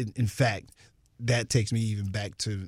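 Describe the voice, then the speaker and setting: A man speaks in a somewhat breathy way with an American accent, on a very clean recording with a silent background. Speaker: radio host and rapper. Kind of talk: casual interview. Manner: animated.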